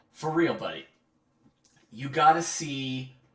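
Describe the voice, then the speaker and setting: Fairly slow speech from a man, with noticeable background noise behind it. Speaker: comic artist streamer. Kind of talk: casual livestream chat. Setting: live drawing stream.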